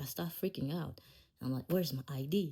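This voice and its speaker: Somewhat breathy and dark, mellow in tone, a woman speaks at a fairly quick pace. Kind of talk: casual podcast storytelling. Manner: laid-back.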